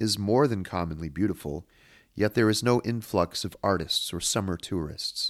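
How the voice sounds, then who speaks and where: Over a silent background in a very clean recording, a man has a normal speaking voice, fairly low in pitch with ordinary variation, the sound dry and close with no echo. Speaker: podcast host and literary analyst. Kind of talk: analytical lecture-style monologue on horror literature.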